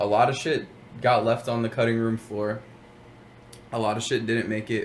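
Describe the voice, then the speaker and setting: Noticeable background noise sits behind a man speaking at a moderate pace. His intonation is monotone and flat. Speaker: rapper. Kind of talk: interview.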